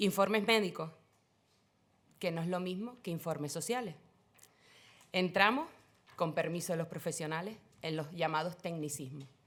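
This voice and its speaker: With long, frequent pauses, a woman speaks at a moderate pace in a fairly low pitch with ordinary pitch variation, on a very clean recording with a silent background. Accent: Canarian. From Canary Islands (Tenerife). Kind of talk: panel talk.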